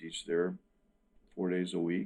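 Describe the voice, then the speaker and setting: A man with an American accent, very deep and low in pitch, with a dark, mellow tone. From US South, Wilmington, North Carolina. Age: 60s. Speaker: musician and guitar teacher. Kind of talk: interview.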